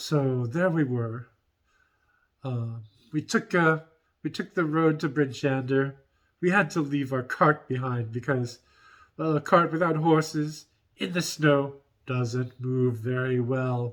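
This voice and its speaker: A man uses a put-on character voice pitched fairly high. He speaks at a fairly slow pace with long, frequent pauses. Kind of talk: in-character roleplay vlog. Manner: hesitant, rambling storytelling.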